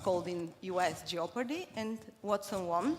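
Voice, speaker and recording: A woman with a Bulgarian accent, medium in pitch. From Cuba and Bulgaria. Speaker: corporate marketing leader. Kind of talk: conference talk. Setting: stage with audience. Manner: hesitant, many fillers.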